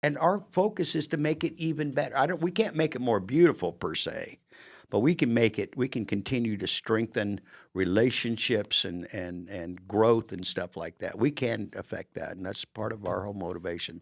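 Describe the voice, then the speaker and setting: In a very clean recording with a silent background, a man at medium pitch talks at a moderate pace with very wide pitch swings. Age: 60s. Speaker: podcast host. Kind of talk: casual interview chat.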